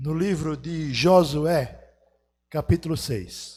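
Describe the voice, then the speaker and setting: Pitched fairly high, a man's voice shows ordinary pitch variation. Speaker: pastor. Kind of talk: sermon. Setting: church.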